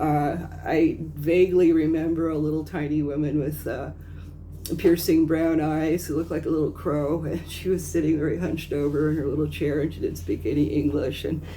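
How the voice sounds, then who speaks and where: A woman's very deep, low voice with an American accent, vocal fry and a dark, mellow tone, her intonation monotone and flat amid audible room echo. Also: moderate pace. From US West Coast, Los Angeles area. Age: 60s. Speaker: vlogger. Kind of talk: casual commentary monologue. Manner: halting, many fillers.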